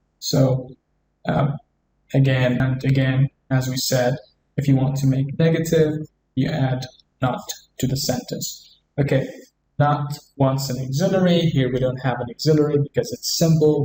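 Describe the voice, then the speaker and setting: This man's voice sits fairly high, with a dark, mellow tone and a somewhat breathy quality. He keeps a moderate pace and fairly even intonation, broken by long, frequent pauses. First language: Arabic. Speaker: English teacher. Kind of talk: tutorial.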